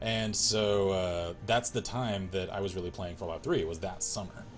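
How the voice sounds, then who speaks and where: With music in the background and audible room echo, a man with a very deep, low voice speaks in an American accent. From US South, rural small town. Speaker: gaming livestreamer. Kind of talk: casual livestream chat while gaming. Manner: casual, filler-heavy.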